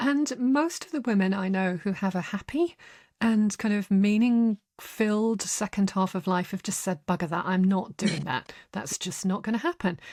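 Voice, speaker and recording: The recording is very clean with a silent background. A woman speaks at a moderate pace in a somewhat breathy, medium-pitched voice with lively intonation. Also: dry, close sound with no echo. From northern England. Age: 60s. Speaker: writer and psychologist. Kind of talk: interview.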